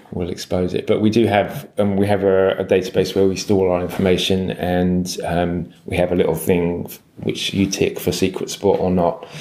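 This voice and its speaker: A man with a London accent speaks in a very deep, low voice at a moderate pace. His intonation stays fairly even, with hardly any pauses. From England, London. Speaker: surf guide publisher. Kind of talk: interview. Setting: surf lodge. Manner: halting.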